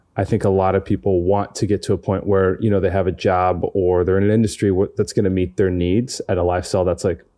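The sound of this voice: In a very clean recording with a silent background, a man speaks at a low pitch with a dark, mellow tone. He talks at a fast pace with little pitch movement and few pauses.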